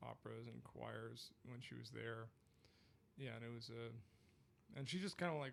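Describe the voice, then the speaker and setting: Moderately paced speech from a man, broken by long, frequent pauses. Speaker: singer-songwriter. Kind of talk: casual chat. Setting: studio. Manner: hesitant, many fillers.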